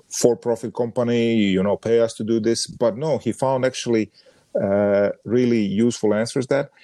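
Dry and close with no echo, a man's dark, mellow voice comes through with a Croatian accent. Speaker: podcast co-host, sports brand designer. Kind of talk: casual chat. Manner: halting, with frequent fillers.

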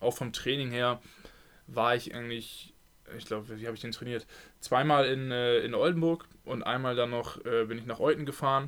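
A man's medium-pitched, unremarkable speaking voice, fairly even in intonation, at a moderate pace. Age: 20s. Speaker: handball player. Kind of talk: casual chat. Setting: at home.

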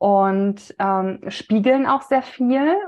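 The woman speaks at a fairly high pitch with ordinary pitch variation. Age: 30s. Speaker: women's health coach. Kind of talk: casual interview conversation.

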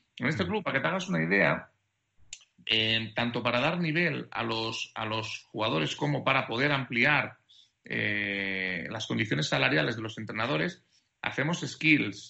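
A man with a medium-pitched voice speaks at a fairly slow pace, his pitch swinging very widely and his voice showing vocal fry. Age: 30s. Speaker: basketball sports director. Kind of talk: interview.

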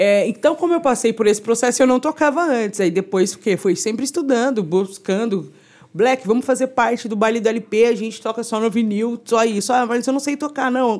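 An unremarkable speaking voice moves at a moderate pace with hardly any pauses. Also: woman, fairly high pitch for a woman, ordinary pitch variation. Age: 30s. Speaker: DJ. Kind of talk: casual chat.

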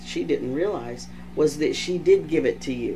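Music plays in the background as a man speaks fairly slowly. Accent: American. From Texas. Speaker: podcast host. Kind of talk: casual chat. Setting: video podcast. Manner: loud, animated.

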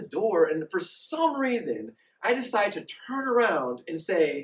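A man with a Californian accent, extremely high-pitched, fairly slow, with very wide pitch swings. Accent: Californian American. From San Diego. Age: 30s. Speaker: actor and model. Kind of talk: casual chat.

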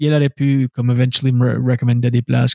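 The man's voice has a dark, mellow tone and flat, monotone intonation, in a dry, close sound with no echo. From Scoudouc, New Brunswick (Acadia). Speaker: stand-up comedian and radio host. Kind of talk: casual interview chat.

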